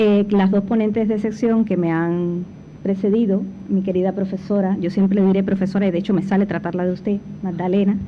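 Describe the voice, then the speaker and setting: With audible room echo, a woman speaks at a medium pitch in a monotone, flat intonation at very even loudness. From Cuba. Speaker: panel speaker, former foundation director. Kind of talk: conference talk. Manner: hesitant fillers.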